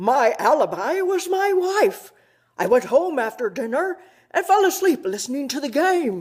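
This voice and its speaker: In a very clean recording with a silent background, a high-pitched, put-on character voice with very wide pitch swings moves at a moderate pace. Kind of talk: comic overacting. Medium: stage play. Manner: indignant, blustering.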